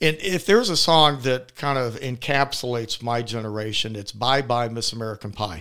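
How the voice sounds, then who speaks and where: Bright and sharp in tone, a man at medium pitch talks at a fairly quick pace on a very clean recording with a silent background. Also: ordinary pitch variation. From Atlanta, Georgia. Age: 60s. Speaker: financial planner. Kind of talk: interview.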